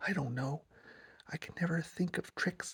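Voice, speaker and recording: In a put-on character voice, the speaker talks at a middle pitch and a moderate pace. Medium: read story.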